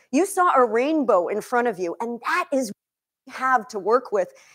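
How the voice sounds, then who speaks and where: Over a quiet background, a woman with a high pitch speaks in an animated tone with very wide pitch swings. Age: 50s. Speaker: chef and nutrition coach; nutrition coach. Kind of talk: cooking demonstration. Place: kitchen.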